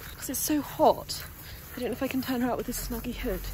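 A woman at a very fast pace, with noticeable background noise and a dry sound with no echo. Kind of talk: casual vlog chat. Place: open country. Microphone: phone near.

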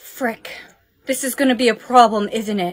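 A woman talks at a moderate pace in a quiet background. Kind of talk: acted skit dialogue. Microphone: phone near.

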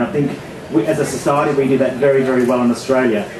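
Amid noticeable background noise and audible room echo, a man talks at a very fast pace. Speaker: event host for a charity. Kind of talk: public speech welcome. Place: stage.

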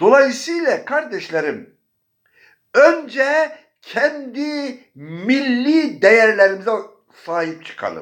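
His pitch is extremely high, and his intonation is lively. The man speaks at a very slow pace. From Bayburt, northeastern Turkey. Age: 70s. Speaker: religious teacher. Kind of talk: religious talk. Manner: formal.

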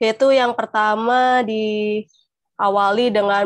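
A fairly high-pitched woman's voice, monotone and flat, with a dry sound with no echo against a quiet background. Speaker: sign language interpreter; webinar presenter. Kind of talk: panel talk. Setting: video call. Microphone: earbuds.

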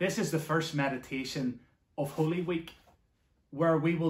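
A somewhat breathy man at a moderate pace, with audible room echo. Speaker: church minister. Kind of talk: devotional welcome address. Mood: warm, earnest. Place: home room. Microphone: phone near.

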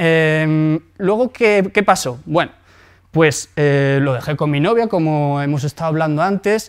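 Against a quiet background, the speaker goes at a moderate pace with lively intonation. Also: man. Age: 20s. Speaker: entrepreneur and blogger; blogger. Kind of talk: lecture; conference talk, personal story. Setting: stage with audience. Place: hall.

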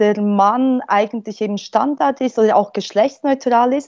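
Against a quiet background, a woman speaks with a Polish accent in a fairly high pitch and fairly even intonation. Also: dry sound with no echo. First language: Polish (speaking German). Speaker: linguistics professor. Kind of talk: panel discussion. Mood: calm, explanatory. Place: home room. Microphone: earbuds.

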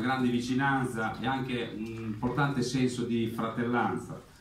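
With an Italian accent, a man speaks at a fairly slow pace and medium pitch, with audible room echo and light background noise. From Italy (Marche, Carpegna); Marche, Italy. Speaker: town councillor for culture. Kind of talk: formal speech. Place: garden. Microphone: camera far.

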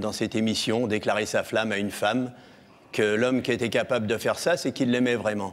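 A man talks at a moderate pace with ordinary pitch variation. His pitch sits in the medium range. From France, near Chartres; France. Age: 60s. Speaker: TV show guest; TV guest. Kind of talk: love declaration; personal storytelling. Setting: TV studio with audience. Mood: earnest, emotional. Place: stage. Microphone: lapel.

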